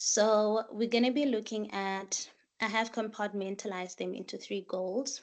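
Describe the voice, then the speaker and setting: Over a quiet background, a woman with an unremarkable speaking voice talks at a moderate pace and fairly high pitch, with fairly even intonation. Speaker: master's student. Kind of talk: workshop presentation.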